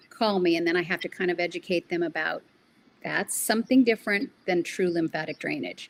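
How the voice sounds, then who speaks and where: A woman talks at a fairly quick pace in a medium pitch. Hers is an unremarkable speaking voice. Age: 60s. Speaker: lymphatic therapist. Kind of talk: podcast interview. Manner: casual, with frequent fillers.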